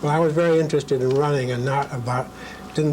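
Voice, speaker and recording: Against noticeable background noise, a man with an American accent speaks with fairly even intonation. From New Hampshire, US (Concord). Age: 70s. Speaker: retired lawyer. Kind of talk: oral history interview. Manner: halting, many fillers.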